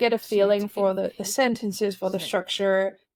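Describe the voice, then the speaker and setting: On a very clean recording with a silent background, a woman with a non-native accent speaks at a fairly slow pace, her medium pitch delivered in a monotone, flat intonation. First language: not English. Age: 30s. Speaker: author. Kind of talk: podcast interview. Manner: halting.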